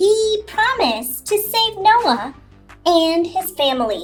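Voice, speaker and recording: Over faint background music, a woman uses a put-on character voice at an extremely high pitch and a fairly slow pace. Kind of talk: children's Bible story telling. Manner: gentle, explanatory.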